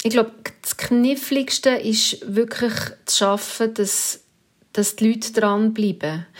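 Pitch moves in an ordinary way while the words come out very slowly. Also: woman, fairly high pitch for a woman. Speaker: radio news presenter. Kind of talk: interview.

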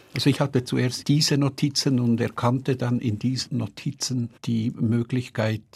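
Very clean recording, silent background, with a man speaking at a moderate pace. His voice sits at medium pitch with fairly even intonation and vocal fry. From Switzerland, Bern. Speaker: writer. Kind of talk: interview.

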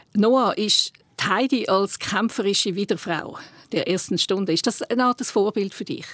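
Speaking at a fairly slow pace, a woman has a fairly high pitch and ordinary pitch variation. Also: dry, close sound with no echo. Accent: Swiss. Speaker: podcast host. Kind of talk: casual chat.

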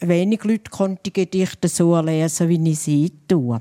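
At a fairly slow pace, a woman speaks in a fairly low pitch with a dark, mellow tone and ordinary pitch variation, the sound dry and close with no echo. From St. Gallen Rhine Valley, Switzerland. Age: 70s. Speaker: dialect poet. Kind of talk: panel talk. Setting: live audience.

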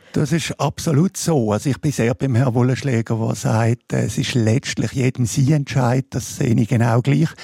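Speaking at a moderate pace with hardly any pauses, a man has an unremarkable speaking voice at a medium pitch, with ordinary pitch variation, very even loudness and a dry, close sound with no echo. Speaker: public health physician. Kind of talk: radio panel discussion.

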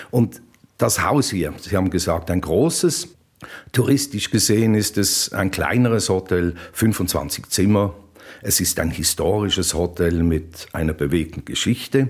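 Speaking at a fairly slow pace, a man with a very deep, low voice uses lively intonation on a very clean recording with a silent background. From Basel, Switzerland. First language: Swiss German (Basel dialect) (speaking German). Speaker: hotelier and former radio presenter. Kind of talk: interview. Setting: on location at his hotel.

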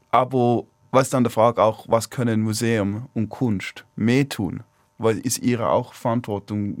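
Monotone and flat in intonation, a man at a medium pitch speaks at a moderate pace on a very clean recording with a silent background. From China, Swiss expatriate family. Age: 20s. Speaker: climate activist. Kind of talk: radio talk show debate. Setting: studio. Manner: halting.

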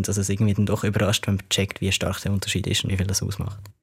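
A man's fairly low, somewhat breathy voice on a very clean recording with a silent background. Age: 20s. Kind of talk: interview.

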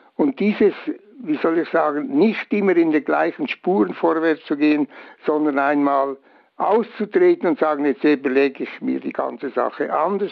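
This man has a plain, everyday voice with fairly high pitch. He talks at a moderate pace with lively intonation. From Switzerland. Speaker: bridge engineer. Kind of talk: interview.

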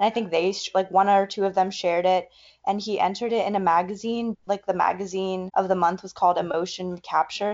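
The delivery is monotone with flat intonation. The pace is fairly quick. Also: woman. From US South, North Carolina. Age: 20s. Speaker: college student. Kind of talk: interview. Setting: video call.

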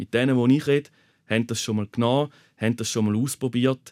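The recording is dry and close with no echo, and a man speaks at a medium pitch. He moves at a fairly quick pace with ordinary pitch variation. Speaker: nurse. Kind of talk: personal testimony. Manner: halting.

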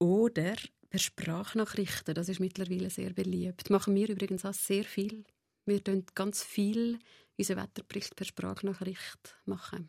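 Her voice has a dark, mellow tone and monotone, flat intonation, heard in a very clean recording with a silent background and a dry, close sound with no echo. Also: medium pitch for a woman, moderate pace. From Central Switzerland, Nidwalden. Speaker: psychotherapist. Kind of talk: interview. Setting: radio studio.

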